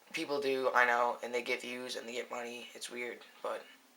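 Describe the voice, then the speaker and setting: Noticeable background noise runs behind speech delivered at a fairly quick pace. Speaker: amateur YouTuber. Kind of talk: drawing tutorial; casual chat to viewers. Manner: fast; casual, halting with fillers.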